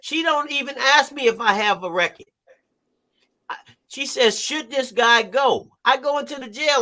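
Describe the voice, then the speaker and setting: Speaking at a fairly slow pace, a man uses an extremely high pitch in a raised, projected voice, bright and sharp in tone, animated, with lively intonation. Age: 60s. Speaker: therapist and life coach, ex-felon. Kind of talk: live stream talk show interview. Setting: live stream.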